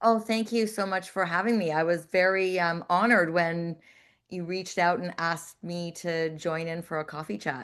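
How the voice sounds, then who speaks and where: Over a quiet background, a woman with an ordinary speaking voice talks at a moderate pace in a fairly low pitch with ordinary pitch variation. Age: 60s. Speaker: fitness professional and holistic nutritionist. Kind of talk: interview.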